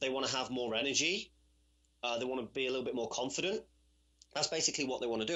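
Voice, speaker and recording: A man with a British accent talks very fast at a medium pitch. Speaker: personal trainer. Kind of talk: podcast interview answer. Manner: casual, conversational.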